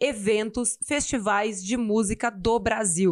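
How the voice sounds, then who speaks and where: Speech comes at a very slow pace with ordinary pitch variation. The background is quiet. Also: woman. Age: 30s. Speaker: interviewer, finance show host. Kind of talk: interview.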